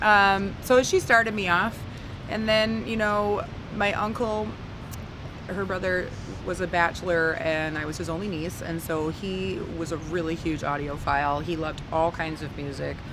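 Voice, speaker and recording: Noticeable background noise and audible room echo surround this recording. A woman speaks with lively intonation in an Upper Midwest accent. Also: fairly low pitch for a woman, moderate pace. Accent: Upper Midwest American. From northern Wisconsin. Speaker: blues singer. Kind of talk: interview. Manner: halting.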